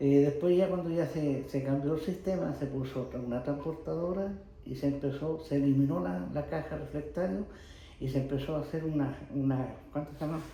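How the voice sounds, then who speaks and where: A fairly high-pitched man at a fairly quick pace, with audible room echo and noticeable background noise. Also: ordinary pitch variation. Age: 80s+. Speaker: retired pottery factory worker. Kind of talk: oral history interview. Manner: halting, with false starts.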